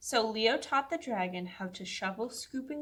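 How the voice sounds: Reading in a natural voice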